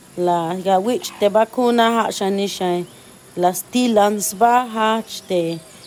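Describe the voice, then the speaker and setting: Very slowly, a woman talks in a medium pitch. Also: ordinary pitch variation. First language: Mayan language (Tsotsil/Tseltal) (speaking Spanish). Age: 30s. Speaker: community member. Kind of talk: testimony.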